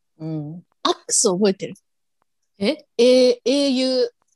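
A woman speaks at a very slow pace. The sound is dry and close, with no echo. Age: 30s. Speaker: podcast co-host. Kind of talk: casual chat. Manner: animated.

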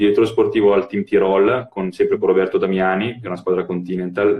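Somewhat breathy and fairly low, a man's voice moves at a fairly quick pace. His intonation stays fairly even. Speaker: former pro cyclist and cycling coach. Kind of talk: casual chat. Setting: Instagram live video call. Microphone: phone with Bluetooth earphones.

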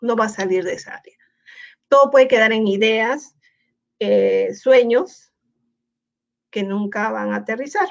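Her pitch fairly high, a woman speaks at a fairly slow pace. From Peru. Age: 50s. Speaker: educator. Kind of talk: casual interview. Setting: online livestream.

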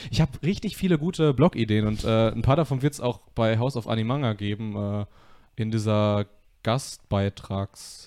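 A man with a dark, mellow tone speaks at a medium pitch. His pace is moderate and his pitch varies in an ordinary way. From Westphalia, Germany (Soest). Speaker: podcast host. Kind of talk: casual chat. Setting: living room, live stream.

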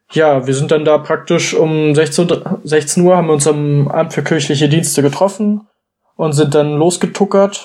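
A man speaks in a plain, everyday voice at a fairly slow pace. His pitch varies in an ordinary way. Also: very even loudness. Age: 20s. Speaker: church youth delegate. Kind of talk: casual chat.

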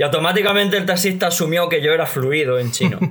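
A high-pitched man with ordinary pitch variation. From Spain. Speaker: Chinese language learner. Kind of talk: casual chat.

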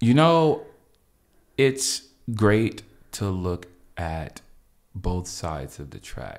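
Speaking very slowly with an American accent, a man with a fairly low pitch makes very wide pitch swings and big swings in loudness, leaving long, frequent pauses. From Los Angeles, US. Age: 30s. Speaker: publicist and dancer. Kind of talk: casual chat.

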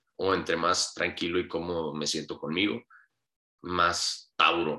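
This man's tone is bright and sharp. He speaks at a fairly slow pace. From Hermosillo, Sonora, Mexico. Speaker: podcast guest telling life story. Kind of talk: casual interview.

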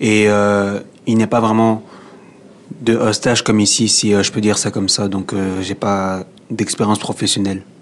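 A man with a fairly low voice talks at a moderate pace in a flat monotone, leaving long, frequent pauses. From DR Congo. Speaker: young job seeker. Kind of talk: radio interview.

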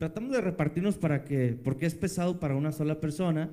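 Its tone is dark and mellow, and the pitch varies in an ordinary way. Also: man. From Jerez, Zacatecas, Mexico. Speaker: band musician.

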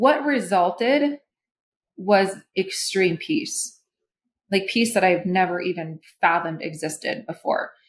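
Somewhat breathy, a woman with an American accent speaks fairly slowly with long, frequent pauses and very wide pitch swings. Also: medium pitch for a woman. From Minnesota. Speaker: holistic therapist. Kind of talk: interview conversation.

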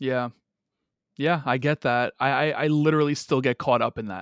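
A man with a normal speaking voice, medium pitch and ordinary pitch variation, in a dry, close recording with no echo, very clean against a silent background. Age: 30s. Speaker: podcast host. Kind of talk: casual interview chat.

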